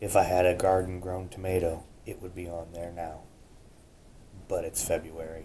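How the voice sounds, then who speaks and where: A man with a very deep, low pitch and a dark, mellow tone speaks at a moderate pace, somewhat breathy and in a monotone, flat intonation. His loudness swings widely, and he leaves long, frequent pauses. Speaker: homesteader. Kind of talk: casual food talk to camera. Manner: whispered.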